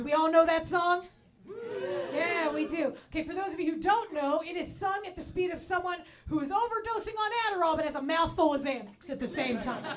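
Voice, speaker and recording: With an American accent, a woman speaks in an extremely high pitch at a fairly quick pace with lively intonation, and audible room echo surrounds her. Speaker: comedian. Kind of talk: stand-up. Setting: stage with audience.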